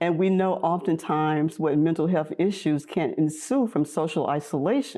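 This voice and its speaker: A woman's fairly low, dark, mellow voice at a fairly slow pace. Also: quiet background. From US South. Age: 70s. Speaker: activist and social worker. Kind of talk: interview. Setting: video podcast.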